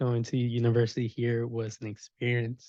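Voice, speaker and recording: Speaking with a Spanish accent, a man uses a medium pitch at a moderate pace. The sound is dry and close, with no echo. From Mexico, Puebla area. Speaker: software security engineer. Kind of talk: panel talk. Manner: hesitant, many fillers.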